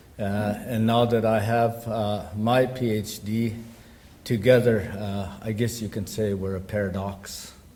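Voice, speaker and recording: With audible room echo, a man speaks fairly slowly at a fairly low pitch in a monotone, flat intonation. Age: 60s. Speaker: academic speaker. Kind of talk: conference presentation. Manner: halting, many fillers.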